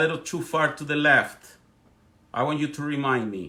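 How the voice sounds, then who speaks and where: With a strong Spanish accent, a man talks in an animated tone at a moderate pace, his bright, sharp voice pitched fairly high with ordinary pitch variation. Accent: thick Spanish. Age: 40s. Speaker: political commentator. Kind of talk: live stream monologue. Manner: halting.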